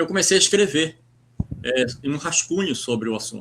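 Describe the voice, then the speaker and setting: A man's fairly high voice with lively intonation. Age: 60s. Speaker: writer and poet. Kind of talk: interview. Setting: live stream. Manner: halting, many repetitions.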